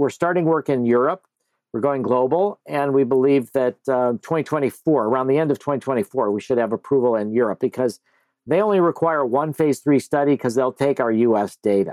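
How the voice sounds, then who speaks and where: A man with a plain, everyday voice speaks at a fairly quick pace, his pitch fairly high with ordinary variation. The sound is dry and close with no echo, and the loudness stays very even. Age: 60s. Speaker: psychedelic researcher, nonprofit founder. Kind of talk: interview.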